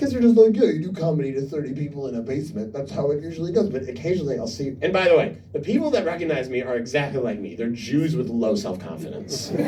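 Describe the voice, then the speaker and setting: Against noticeable background noise, a man talks at a very fast pace and fairly high pitch, with hardly any pauses and very wide pitch swings. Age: 30s. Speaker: comedian. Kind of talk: stand-up. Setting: stage with audience. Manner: loud; animated.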